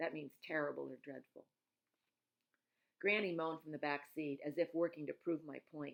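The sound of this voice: Speaking at a moderate pace, a woman with a low pitch shows vocal fry and ordinary pitch variation.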